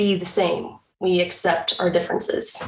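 Speaking fairly slowly, a woman uses an ordinary speaking voice. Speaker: media specialist. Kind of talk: casual chat.

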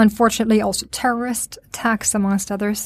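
A woman talks at a very fast pace with a medium pitch, fairly even intonation and a somewhat breathy sound. The recording is very clean, with a silent background. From Sweden. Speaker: podcast host. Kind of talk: interview. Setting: studio in Stockholm.

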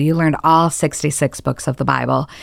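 Recorded very cleanly against a silent background, a woman with a Midwestern American accent speaks at a fairly low pitch. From Michigan. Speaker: church groups director, former missionary. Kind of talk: casual interview.

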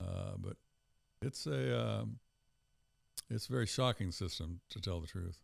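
A man with an American accent speaks at a fairly slow pace in a very deep, low voice with vocal fry, very wide pitch swings and long, frequent pauses, recorded very cleanly against a silent background. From US South, Tennessee. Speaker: pastor and Bible teacher. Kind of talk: theological discussion, interview.

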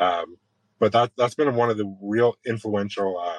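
A man with a Canadian accent speaks at a moderate pace in a plain, everyday voice, his pitch fairly low, the sound dry and close with no echo. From southwestern Ontario, Canada. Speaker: sheet metal worker and trades advocate. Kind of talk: interview.

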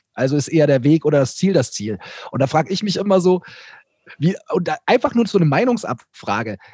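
A man speaks very fast in a fairly high voice with a dark, mellow tone. His pitch swings very widely, and the sound is dry and close with no echo. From Bavaria, Germany. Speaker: content creator, YouTuber. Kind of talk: casual chat.

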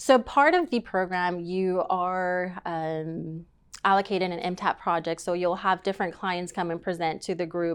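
Against a quiet background, a woman with an American accent uses an unremarkable speaking voice at medium pitch. She keeps a moderate pace and fairly even intonation. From East Texas, Tyler. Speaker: accountant. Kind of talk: casual interview.

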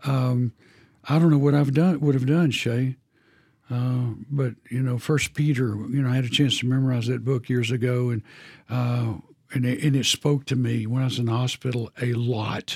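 Somewhat breathy, a man speaks at a medium pitch and moderate pace with a Texan accent and fairly even intonation. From Texas. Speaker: camp ministry president. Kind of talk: faith testimony interview. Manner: halting.

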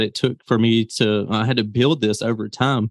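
A man speaks with a Southern US accent. His pitch is medium and his intonation fairly even. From Mississippi, US South. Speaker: business founder and YouTuber. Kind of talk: interview. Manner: casual, laughs often.

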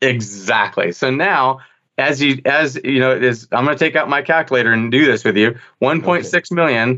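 A man's normal speaking voice at a medium pitch and a moderate pace. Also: ordinary pitch variation. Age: 50s. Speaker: dental marketing executive. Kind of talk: interview.

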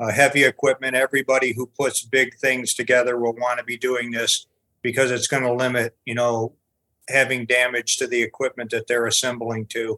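Bright and sharp in tone, a man at medium pitch talks at a moderate pace in a dry, close sound with no echo. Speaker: crane service director. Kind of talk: casual interview discussion.

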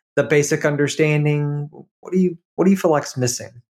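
At a moderate pace, a man uses a normal speaking voice pitched fairly high. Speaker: podcast host. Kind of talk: casual interview conversation.

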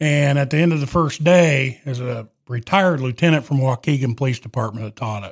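A man speaks in a plain, everyday voice at medium pitch and a moderate pace with ordinary pitch variation. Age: 40s. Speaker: truck driver and former police chief. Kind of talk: interview conversation. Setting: studio.

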